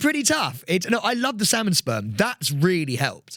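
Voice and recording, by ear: With very wide pitch swings and a bright, sharp tone, a man speaks at a high pitch and moderate pace on a very clean recording with a silent background.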